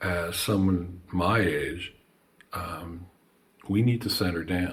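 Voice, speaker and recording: With an American accent, a man speaks very slowly in a very deep, low, somewhat breathy voice with fairly even intonation. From New Jersey. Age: 60s. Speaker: banjo maker and artist. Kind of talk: casual chat.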